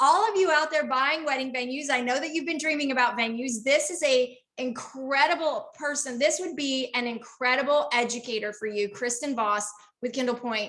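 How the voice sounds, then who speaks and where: Her voice raised and projected, a woman speaks at a fairly quick pace in a high pitch with a bright, sharp tone and ordinary pitch variation. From Texas. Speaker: podcast host interviewing wedding venue owners. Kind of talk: casual interview chat. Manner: animated.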